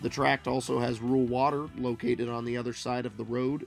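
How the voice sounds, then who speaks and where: Music plays in the background. A man speaks at a moderate pace and a medium pitch. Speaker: real estate auction promo narrator. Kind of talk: real estate listing promo narration.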